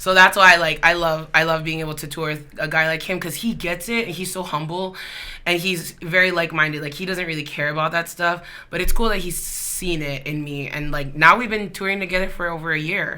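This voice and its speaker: A woman talks in an animated tone at a fairly quick pace. Her fairly low voice carries audible room echo. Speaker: singer. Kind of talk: casual chat.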